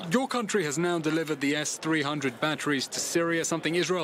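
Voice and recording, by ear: Speaking at a fairly quick pace, a man with a fairly high pitch and fairly bright tone shows ordinary pitch variation.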